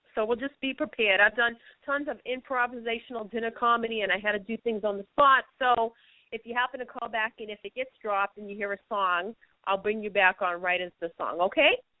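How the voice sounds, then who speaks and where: A woman speaks at a fairly quick pace in a fairly high voice with a Boston accent. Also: ordinary pitch variation, big swings in loudness. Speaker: radio show host. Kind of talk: interview. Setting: radio show with guest on phone line.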